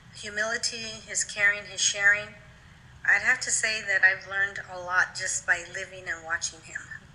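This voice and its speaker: A woman with an American accent, medium pitch and monotone, flat intonation, with big swings in loudness and noticeable background noise. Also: moderate pace. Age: 60s. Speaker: pastor. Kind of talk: interview.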